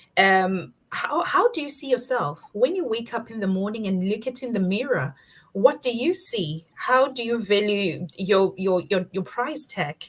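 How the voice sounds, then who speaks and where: A somewhat breathy woman's voice, fairly high in pitch, with very wide pitch swings, a fairly slow pace and hardly any pauses. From Soweto, South Africa. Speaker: author. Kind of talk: interview answer.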